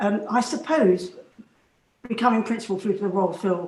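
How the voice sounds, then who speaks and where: In a southern English accent, a woman speaks with ordinary pitch variation. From London, England. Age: 70s. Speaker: flute soloist and professor. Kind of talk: interview. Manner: hesitant fillers.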